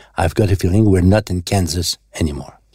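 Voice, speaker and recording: A very deep, low-voiced man with a Quebec accent sounds somewhat breathy in a dry, close recording with no echo. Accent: Québécois French. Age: 60s. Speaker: songwriter. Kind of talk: personal storytelling. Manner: casual.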